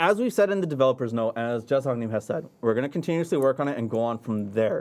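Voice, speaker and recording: A man mumbling at a very fast pace, with lively intonation. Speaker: game community manager. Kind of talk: livestream game update discussion.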